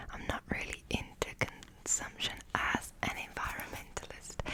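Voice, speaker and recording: Someone whispers at a fairly slow pace in a relaxed tone, with noticeable background noise behind them. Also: woman. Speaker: ASMR creator. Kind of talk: ASMR haul and ramble, casual talk to camera. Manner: relaxed, lo-fi, close-whispered.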